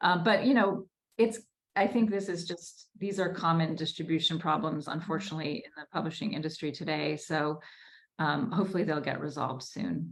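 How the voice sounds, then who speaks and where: A woman talks at a fairly quick pace in an ordinary speaking voice. Her pitch sits fairly low and shows ordinary variation. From US Northeast, Newton, Massachusetts. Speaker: debut novelist. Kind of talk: Q&A at a virtual book launch.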